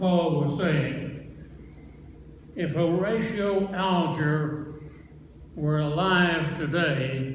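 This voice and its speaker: With an American accent, a man speaks at a fairly high pitch and a very slow pace, using fairly even intonation and long, frequent pauses over noticeable background noise. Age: 80s+. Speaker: former US senator. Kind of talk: eulogy.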